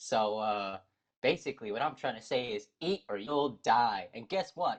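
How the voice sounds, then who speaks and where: A man talks in an ordinary speaking voice, pitched in the medium range, with lively intonation. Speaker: podcast co-host. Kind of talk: casual chat.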